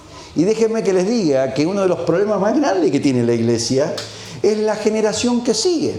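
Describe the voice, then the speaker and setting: A man with a high-pitched voice talks with lively intonation, with audible room echo and noticeable background noise. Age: 60s. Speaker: preacher. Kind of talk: sermon.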